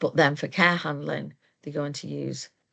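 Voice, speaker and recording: The speaker has a South Yorkshire accent and a moderate pace. The background is quiet. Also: woman. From South Yorkshire, England. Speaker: occupational therapist, moving and handling trainer. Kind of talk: webinar presentation. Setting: online webinar.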